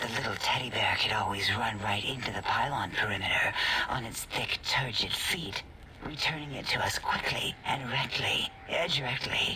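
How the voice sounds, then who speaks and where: A put-on character voice moves along at a moderate pace. Clear background noise runs underneath. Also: man, medium pitch for a man. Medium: game stream. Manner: clinical, detached.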